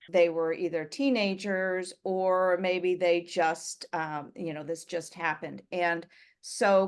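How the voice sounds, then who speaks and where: An unremarkable speaking voice with an American accent moves at a fairly slow pace. The background is quiet. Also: woman. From US. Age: 60s. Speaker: writer and adoptee. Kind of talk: interview.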